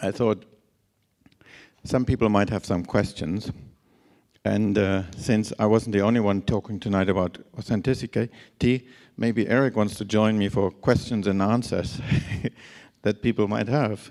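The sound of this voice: At a fairly slow pace, a man with a raspy, slightly mellow tone and fairly low pitch speaks with fairly even intonation.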